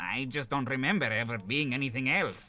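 A man puts on a nasal character voice at a medium pitch. He delivers it at a fairly quick pace.

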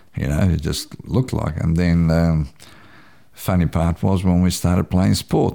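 A man with a Croatian accent, a very deep, low pitch, a dark, mellow tone and a moderate pace. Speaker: community radio announcer. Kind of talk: interview.

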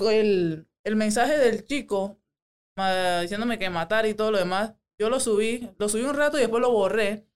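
A woman talks at a moderate pace in a normal speaking voice. Her pitch is fairly high, with ordinary pitch variation. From Panama, Panama City area. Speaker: MMA fighter. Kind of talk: casual chat.

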